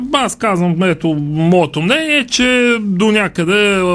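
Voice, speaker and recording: Amid noticeable background noise, a man talks at a fairly slow pace with lively intonation. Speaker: sports radio host. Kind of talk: radio talk show discussion. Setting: radio studio.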